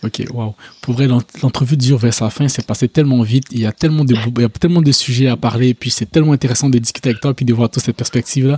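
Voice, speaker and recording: A man's medium-pitched, dark, mellow, somewhat breathy voice at a very fast pace, with fairly even intonation and hardly any pauses. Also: dry, close sound with no echo. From Côte d'Ivoire. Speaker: podcast host. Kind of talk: casual interview.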